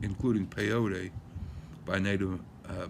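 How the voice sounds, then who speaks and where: At a fairly slow pace, a man speaks with a fairly low pitch and ordinary pitch variation. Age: 60s. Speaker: lawyer musing on a topic. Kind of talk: casual monologue. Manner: halting, many fillers.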